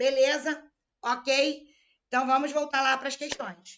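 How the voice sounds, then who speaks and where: This woman has a high pitch and speaks in a Rio de Janeiro accent. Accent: carioca. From Rio de Janeiro, Brazil. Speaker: law exam-prep teacher. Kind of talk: live online lecture. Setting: live stream.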